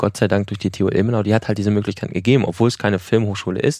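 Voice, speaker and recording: In a quiet background, a man with fairly low pitch and fairly even intonation speaks in a plain, everyday voice. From Germany, Ruhr area. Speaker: film director and producer. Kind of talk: interview.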